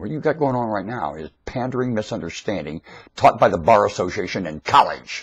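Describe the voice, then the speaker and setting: A man with an American accent and vocal fry, talking at a fairly quick pace against a quiet background. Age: 60s. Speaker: YouTube commentator. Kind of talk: rant. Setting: webcam recording. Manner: animated.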